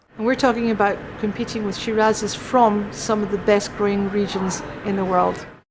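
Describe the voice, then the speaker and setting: Against noticeable background noise, a woman speaks at a moderate pace and medium pitch in a monotone, flat intonation. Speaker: winery guide, expert on the winery's history. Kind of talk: casual interview answer.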